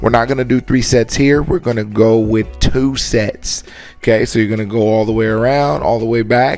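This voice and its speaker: With music playing in the background, a man talks at a moderate pace and a medium pitch. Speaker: basketball trainer. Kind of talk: workout tutorial. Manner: animated.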